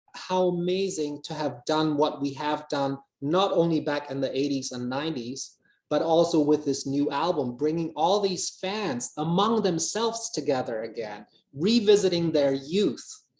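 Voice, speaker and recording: This man has a normal speaking voice with a fairly high pitch. He moves at a moderate pace with ordinary pitch variation. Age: 50s. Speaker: musician. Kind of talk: interview.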